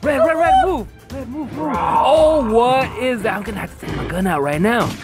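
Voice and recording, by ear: A man puts on a character voice at an extremely high pitch with very wide pitch swings. Faint music sits in the background. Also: moderate pace.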